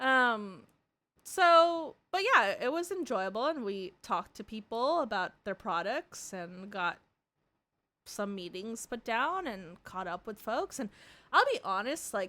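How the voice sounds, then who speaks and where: Bright and sharp, a woman's animated voice moves fairly slowly, with very wide pitch swings and big swings in loudness. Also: fairly high pitch for a woman. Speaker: vtuber streamer. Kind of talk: casual live stream chat. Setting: live stream. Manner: animated, rambling pace.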